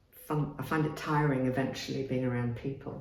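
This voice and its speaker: A woman's very deep, low voice against noticeable background noise. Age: 60s. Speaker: psychotherapist. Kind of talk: interview answer.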